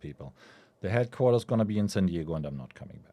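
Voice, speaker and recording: A man speaks with a German accent in a dark, mellow tone. The recording is very clean, with a silent background. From Germany. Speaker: venture capital investor. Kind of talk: podcast interview.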